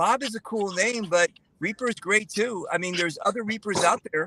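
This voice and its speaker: The voice is raised and projected, moving at a moderate pace with ordinary pitch variation. The sound is dry and close, with no echo. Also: man. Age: 60s. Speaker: paintball player. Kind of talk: casual chat.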